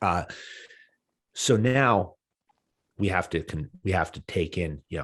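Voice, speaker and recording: Very deep and low in pitch, a man with an American accent uses lively intonation and long, frequent pauses on a very clean recording with a silent background. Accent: Boston accent, comes out when stressed. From Boston, US. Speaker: business leadership podcaster. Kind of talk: podcast interview. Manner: loud, passionate; fast, animated with many fillers.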